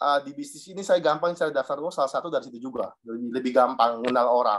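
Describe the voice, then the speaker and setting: With an eastern Indonesian accent, a man talks at a fairly quick pace with ordinary pitch variation. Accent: eastern Indonesian accent, noticeable. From Southeast Maluku, eastern Indonesia (Dobo). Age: 30s. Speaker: insurance agent sharing experience. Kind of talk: personal testimony to a group.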